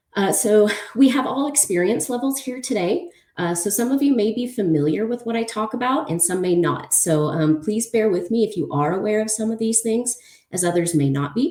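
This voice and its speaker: A woman talks at a fairly quick pace with a fairly high pitch. Her pitch swings very widely. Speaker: open source investigator. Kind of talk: conference talk. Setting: conference presentation. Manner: fast; hesitant with many fillers.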